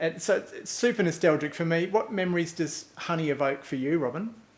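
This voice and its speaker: A high-pitched man with a slight New Zealand accent at a very fast pace, over noticeable background noise. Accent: slight New Zealand twang. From New Zealand, North Island. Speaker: podcast host. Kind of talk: live-streamed interview. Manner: halting.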